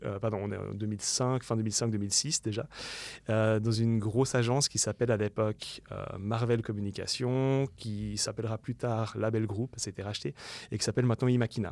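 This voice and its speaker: Recorded very cleanly against a silent background, a man speaks at a medium pitch and a fairly quick pace. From Switzerland, Lausanne-Morges region. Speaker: UX designer and entrepreneur. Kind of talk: podcast interview. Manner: animated, many fillers.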